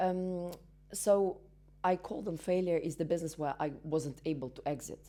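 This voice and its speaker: This woman speaks with a Russian accent in a dark, mellow tone and a fairly low pitch. Her pace is moderate and her pitch variation ordinary. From Belarus. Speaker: entrepreneur and business mentor. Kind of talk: interview. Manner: halting, many fillers.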